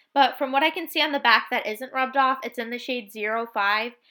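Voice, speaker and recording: A woman's raised, projected voice, high-pitched and very fast, with a bright, sharp tone. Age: 20s. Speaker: beauty vlogger. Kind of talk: tutorial voice-over. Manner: casual.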